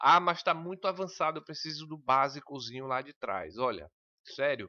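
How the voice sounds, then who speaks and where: A man is speaking. His pitch moves in an ordinary way. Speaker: computer skills teacher for civil service exams. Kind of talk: online lesson. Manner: fast.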